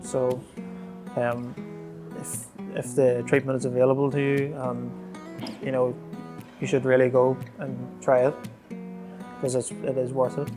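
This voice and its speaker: A man with a Northern Irish accent talks at a moderate pace and medium pitch, with ordinary pitch variation. He takes long, frequent pauses while music plays in the background. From Northern Ireland. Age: 20s. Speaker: spinal cord injury patient. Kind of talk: interview answer.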